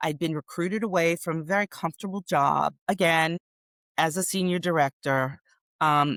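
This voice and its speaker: A woman talks at a moderate pace in an ordinary speaking voice, her pitch fairly low. The sound is dry and close with no echo, and the recording is very clean with a silent background. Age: 60s. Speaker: productivity coach. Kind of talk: interview. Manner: conversational.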